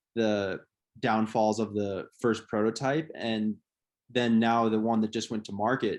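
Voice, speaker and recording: A man's plain, everyday voice with an American accent at a moderate pace, over a quiet background. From American, Minnesota. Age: 20s. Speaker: professional distance runner. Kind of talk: interview answer.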